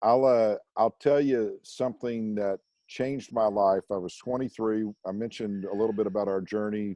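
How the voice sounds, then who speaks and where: With an American accent, a man speaks in a fairly low pitch and a dark, mellow tone, at a moderate pace with fairly even intonation, in a dry, close sound with no echo. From Oklahoma and Mississippi, US South. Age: 60s. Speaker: university alumni director. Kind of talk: interview.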